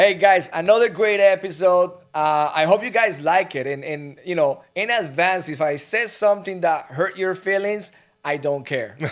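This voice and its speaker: A man with a high voice speaks at a moderate pace in an animated tone, with ordinary pitch variation. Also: very clean recording, silent background. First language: not English. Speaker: real estate brokerage executive and podcast host. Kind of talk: casual podcast conversation.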